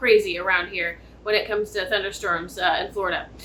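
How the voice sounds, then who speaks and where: A woman talks at a moderate pace. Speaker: tarot reader. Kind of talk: tarot reading. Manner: loud, projecting.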